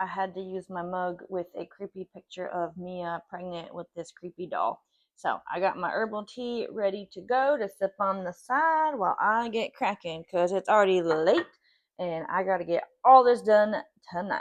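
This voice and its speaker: A woman with an American accent speaks at a moderate pace and medium pitch, her intonation lively. Her loudness swings widely, and the sound is dry and close with no echo. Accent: Southern US, varies in strength. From Southern United States. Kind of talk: casual cooking talk to camera.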